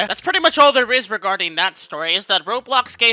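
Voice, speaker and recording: A man's raised, projected voice at a very fast pace, lively intonation, dry and close with no echo. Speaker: gaming commentary youtuber. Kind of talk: scripted narration. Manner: casual.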